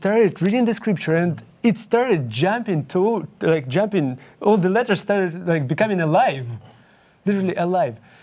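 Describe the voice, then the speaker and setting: A high-pitched man with a Ukrainian accent at a moderate pace. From Ukraine. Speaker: young adult Bible study leader. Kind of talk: interview. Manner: halting.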